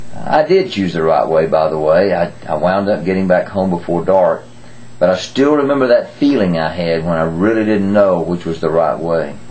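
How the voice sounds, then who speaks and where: Moderate pace paired with lively intonation. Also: man, very deep, low pitch for a man. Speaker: grandfather giving children's devotions. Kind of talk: children's Bible devotion talk. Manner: gentle, storytelling. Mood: warm, gentle storytelling. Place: home room. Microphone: webcam.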